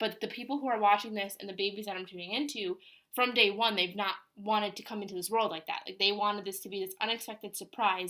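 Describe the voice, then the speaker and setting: A woman's medium-pitched voice carries a bright, sharp tone. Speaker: tarot reader. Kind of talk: channeled tarot reading. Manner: fast; animated.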